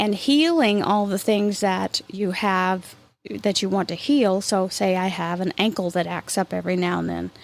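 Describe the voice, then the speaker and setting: A woman speaks at a moderate pace with a medium pitch and ordinary pitch variation. The recording is very clean, with a silent background. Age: 50s. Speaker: spiritual podcast host. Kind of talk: spiritual talk. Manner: reflective.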